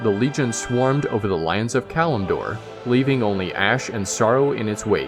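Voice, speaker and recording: A man speaks at a medium pitch. Behind him, music can be heard. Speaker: voice-over artist / audiobook-style narrator. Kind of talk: audiobook-style lore narration.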